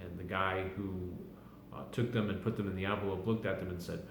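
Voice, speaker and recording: A man talks at a fairly low pitch with fairly even intonation. Noticeable background noise can be heard. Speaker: dialect explainer. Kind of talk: casual talk to camera.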